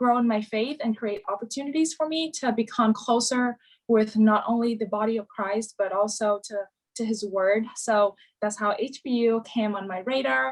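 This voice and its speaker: The pace stays moderate. Its pitch moves with ordinary variation. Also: woman. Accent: Vietnamese. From Vietnam. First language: Vietnamese. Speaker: university student. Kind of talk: interview. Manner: hesitant, many fillers.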